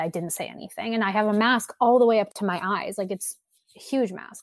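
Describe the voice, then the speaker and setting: On a very clean recording with a silent background, a woman speaks at medium pitch and a moderate pace with ordinary pitch variation, an ordinary speaking voice. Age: 20s. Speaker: baseball podcast host. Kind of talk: casual discussion.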